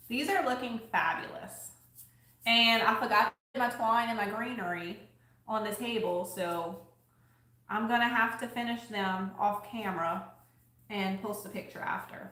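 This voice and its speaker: A strong Louisiana accent comes at a moderate pace with ordinary pitch variation and long, frequent pauses. The room echo is audible and the background noise is noticeable. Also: woman, fairly high pitch for a woman. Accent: strong Southern US (Louisiana). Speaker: crafter and thrift-flip YouTuber. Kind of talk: casual livestream chat while crafting. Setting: live video stream. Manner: casual, chatty.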